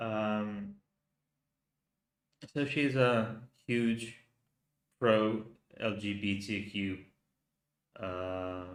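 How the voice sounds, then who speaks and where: In a room with audible echo, a man with a fairly low voice speaks very slowly, with fairly even intonation and long, frequent pauses. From Finland. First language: Finnish. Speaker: youtuber. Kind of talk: live stream commentary. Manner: halting.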